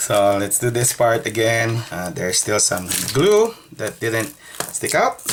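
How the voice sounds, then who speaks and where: The speaker has a Filipino accent and a fairly slow pace. Background noise is noticeable. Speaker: tech repair youtuber. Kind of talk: tutorial.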